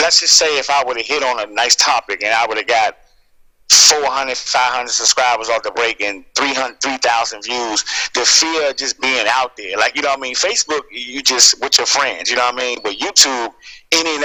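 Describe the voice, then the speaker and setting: A man with a medium pitch and ordinary pitch variation talks at a fairly quick pace amid noticeable background noise. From US, Washington DC area. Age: 30s. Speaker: YouTuber and school worker. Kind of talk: radio interview. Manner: casual, many fillers.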